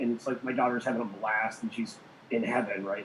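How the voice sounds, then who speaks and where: The talking races along at a very fast pace with noticeable background noise present. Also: man. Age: 40s. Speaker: conspiracy podcast co-host. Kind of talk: casual chat. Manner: hesitant, many fillers.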